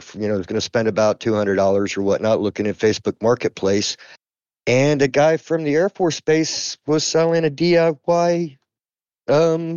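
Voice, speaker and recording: Speaking in a plain, everyday voice, a man has a fairly high pitch. His intonation is lively, and his pace is moderate. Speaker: guest game player. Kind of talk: casual chat.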